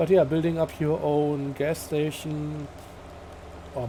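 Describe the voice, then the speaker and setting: The man's tone is relaxed. He speaks at a fairly slow pace. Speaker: gaming video creator. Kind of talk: let's play commentary. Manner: halting, frequent fillers; casual, relaxed.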